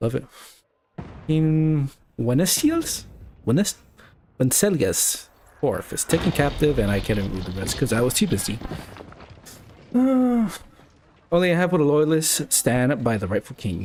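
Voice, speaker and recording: A man at a fairly high pitch and moderate pace, with very wide pitch swings and long, frequent pauses. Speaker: gaming streamer. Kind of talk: live gameplay commentary. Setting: live stream. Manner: loud.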